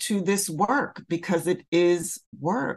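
A woman speaks at a very slow pace with an American accent. Her pitch is fairly low. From Philadelphia. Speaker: poet and artist. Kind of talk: interview.

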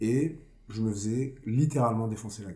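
With audible room echo, a man speaks in a somewhat breathy, fairly low voice with fairly even intonation. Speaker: blues rock singer. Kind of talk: casual chat.

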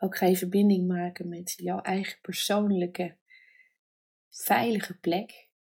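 Her tone dark and mellow, a woman speaks at a medium pitch in a somewhat breathy voice with monotone, flat intonation. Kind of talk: guided meditation. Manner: slow, soft and soothing, with long pauses; gentle, calm, warm.

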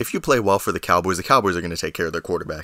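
A man speaks with a very deep, low pitch and a bright, sharp, energetic tone. The recording is very clean, with a silent background. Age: 18 (young adult). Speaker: sports podcast host. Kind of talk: solo podcast commentary. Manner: energetic, casual.

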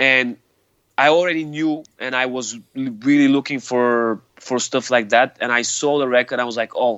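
A man's medium-pitched voice with a Bulgarian accent and fairly even intonation. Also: moderate pace. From Bulgaria, Sofia. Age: 40s. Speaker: hardcore musician. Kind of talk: interview. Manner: halting.

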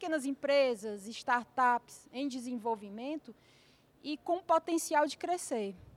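Delivery is very slow, with ordinary pitch variation. The sound is dry and close, with no echo. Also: woman. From Fortaleza, Brazil. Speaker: finance manager. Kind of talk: lecture.

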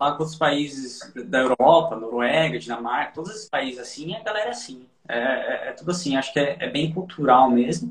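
Talking fairly quickly in a normal speaking voice, a man with a fairly high pitch uses lively intonation and big swings in loudness. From São Paulo / Osasco, Brazil. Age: 30s. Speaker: expat guest, IT worker. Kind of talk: casual interview chat.

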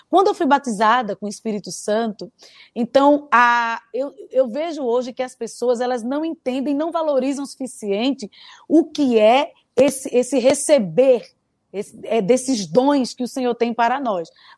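A woman's high-pitched voice at a fairly slow pace, with ordinary pitch variation, in a very clean recording with a silent background and a dry, close sound with no echo. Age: 30s. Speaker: gospel singer and author. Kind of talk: testimony.

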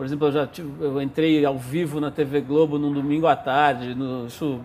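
A moderate pace, ordinary pitch variation and a fairly high pitch in a man's voice, an unremarkable speaking voice. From Brazil, São Paulo. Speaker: magazine founder and editor. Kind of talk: casual interview. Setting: bookstore.

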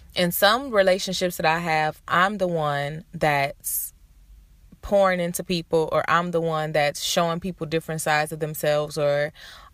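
A woman with a plain, everyday voice speaks at a moderate pace in an American accent, her pitch fairly low, on a very clean recording with a silent background. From Detroit, Michigan, US. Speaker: podcast host. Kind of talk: solo podcast monologue. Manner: casual, conversational.

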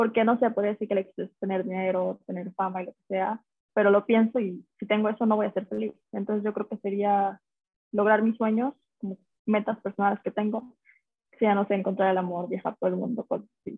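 Monotone, flat intonation at a fairly quick pace. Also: woman, medium pitch for a woman. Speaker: TikTok creator. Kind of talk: casual chat.

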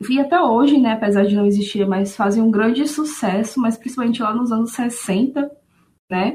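Ordinary pitch variation in a somewhat breathy, fairly high female voice. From Aracaju, Sergipe, Brazil. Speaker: music fan guest. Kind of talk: casual conversation podcast. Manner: frequent fillers like né.

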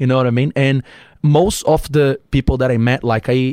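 A man speaks at a moderate pace and medium pitch, his tone dark and mellow. The sound is dry and close, with no echo. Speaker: entrepreneur. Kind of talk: casual chat. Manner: animated.

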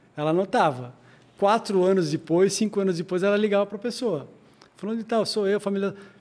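This man's voice sits high. His pitch variation is ordinary. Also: fairly quick pace. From Joinville, Santa Catarina, southern Brazil. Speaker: lawyer and world traveler. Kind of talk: interview.

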